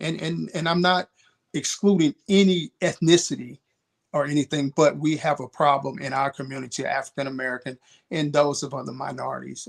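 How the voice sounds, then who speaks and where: Using a normal speaking voice, a man talks at a fairly high pitch and fairly quick pace with ordinary pitch variation, in a dry, close sound with no echo. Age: 60s. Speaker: mentor. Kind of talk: panel discussion.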